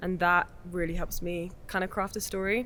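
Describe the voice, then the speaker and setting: With an English accent, a woman talks at a medium pitch in a bright, sharp tone. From England, Essex. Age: 20s. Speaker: film director. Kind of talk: casual interview chat.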